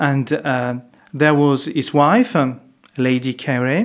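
A man with a French accent talks at a fairly high pitch. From France, Paris. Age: 50s. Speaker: monk. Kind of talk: interview. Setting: monastery. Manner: halting.

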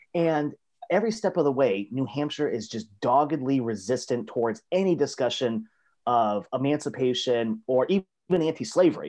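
A man with an American accent has a normal speaking voice at medium pitch. His intonation is lively, and the background is quiet. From South Florida. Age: 30s. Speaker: history professor. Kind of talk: casual interview. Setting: video call.

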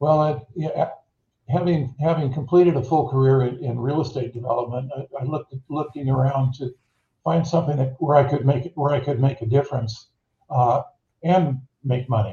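Somewhat breathy delivery with a dark, mellow tone, fairly even intonation and a moderate pace. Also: man, fairly high pitch for a man. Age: 70s. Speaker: startup CEO. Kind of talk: interview. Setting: video call. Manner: halting, many repeated words.

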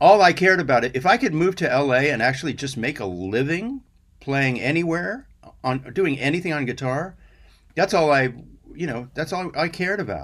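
In a very clean recording with a silent background, a man with an unremarkable speaking voice talks with lively intonation. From US Southwest, Albuquerque, New Mexico. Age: 60s. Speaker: session guitarist. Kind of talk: casual chat. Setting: studio.

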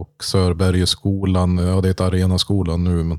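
A man speaks at a moderate pace in a very deep, low voice with monotone, flat intonation, on a very clean recording with a silent background. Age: 30s. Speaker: podcast host, local politician. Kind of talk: casual chat.

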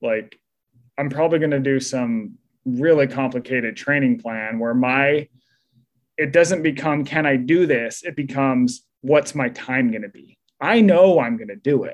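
A man with an American accent and a plain, everyday voice speaks at a moderate pace. His pitch is fairly high with ordinary variation, and his loudness swings widely. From Utah. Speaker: author. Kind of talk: interview. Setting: podcast interview.

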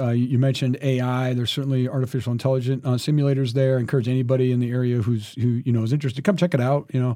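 A very fast delivery with an American accent and fairly even intonation, over noticeable background noise. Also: man. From US Midwest, Nebraska. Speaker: school superintendent and military veteran. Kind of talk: interview. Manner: halting, with many repetitions.

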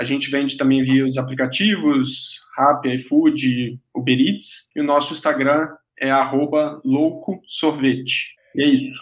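Pausing hardly at all, a man with a fairly high pitch speaks at a very slow pace with fairly even intonation. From interior of Rio de Janeiro state, Brazil. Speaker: ice cream company founder. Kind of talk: casual chat. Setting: video call.

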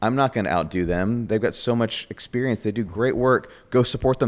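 With an American accent, a man speaks at a fairly quick pace in a plain, everyday voice, medium in pitch with ordinary pitch variation. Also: hardly any pauses. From New York. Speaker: baker and bakery owner. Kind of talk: interview.

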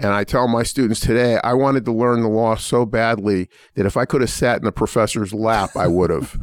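With an American accent, a man in an unremarkable speaking voice talks at a fairly quick pace and medium pitch, with fairly even intonation, very even loudness and hardly any pauses. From US Northeast, Pittsburgh. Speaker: law school dean. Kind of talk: interview.

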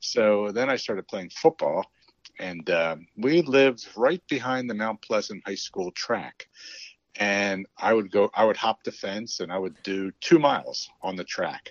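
A man speaks in a normal speaking voice at a medium pitch, his intonation lively. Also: fairly slow pace. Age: 60s. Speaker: race director. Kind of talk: casual interview chat.

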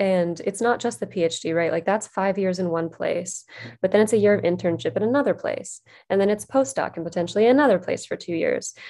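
Against a quiet background, a woman with an American accent uses an ordinary speaking voice at a medium pitch, with ordinary pitch variation. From West Virginia. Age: 30s. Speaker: PhD student in clinical psychology, podcaster. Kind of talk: casual interview chat.

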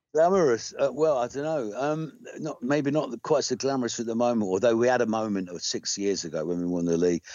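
Talking at a very fast pace with hardly any pauses, a man with an English accent and a medium pitch makes very wide pitch swings. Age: 60s. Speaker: rock singer-songwriter. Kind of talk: casual interview. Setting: phone call.

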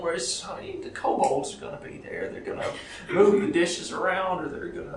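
Putting on a character voice with vocal fry, a man speaks at a high pitch and a moderate pace with big pitch swings and audible room echo.

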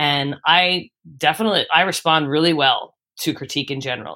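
The voice has a bright, sharp tone and a Philadelphia accent. The recording is very clean, with a silent background. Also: woman. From Philadelphia, Northeast Philly. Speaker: musician. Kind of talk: casual interview.

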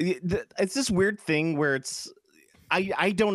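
The speaker has a Chicago accent. The sound is dry and close, with no echo. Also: man. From US Midwest. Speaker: podcast host. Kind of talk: casual chat. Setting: video call. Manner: animated.

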